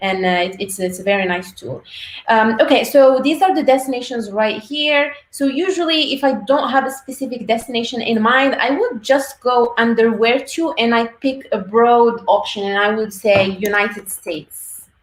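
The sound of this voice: Over audible room echo, a woman talks at a moderate pace and a fairly high pitch with ordinary pitch variation.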